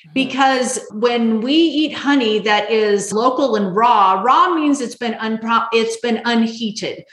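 With an American accent, a woman speaks at a fairly slow pace and a fairly high pitch, with ordinary pitch variation and hardly any pauses. Noticeable background noise can be heard. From Las Vegas, Nevada, US. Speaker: healthy eating coach. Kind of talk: podcast interview.

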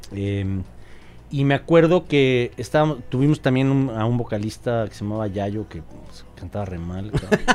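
Speaking with a Mexico City accent, a man keeps a moderate pace. His loudness swings widely. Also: medium pitch for a man, lively intonation. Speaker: rock singer and guitarist. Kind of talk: casual chat. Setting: studio.

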